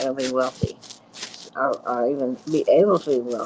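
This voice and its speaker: Lively intonation comes through at a moderate pace, with noticeable background noise. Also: woman. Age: 80s+. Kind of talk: casual chat. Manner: halting.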